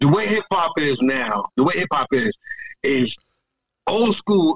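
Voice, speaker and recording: At a fairly slow pace, a man with a fairly high pitch makes very wide pitch swings and leaves long, frequent pauses. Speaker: rapper. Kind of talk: casual interview.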